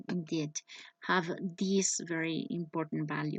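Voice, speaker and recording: Slowish and monotone, a woman speaks with a Spanish accent in a flat intonation at a fairly slow pace. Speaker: english teacher. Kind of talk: personal presentation. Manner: halting.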